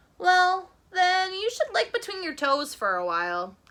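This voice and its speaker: A squeaky, put-on character voice from a woman, extremely high in pitch, at a moderate pace. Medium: read story. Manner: prim, self-assured.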